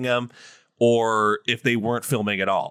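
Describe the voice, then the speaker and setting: On a very clean, dry, close recording with a silent background and no echo, a man speaks in an animated, upbeat tone at a moderate pace and medium pitch. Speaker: podcast host. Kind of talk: casual podcast chat.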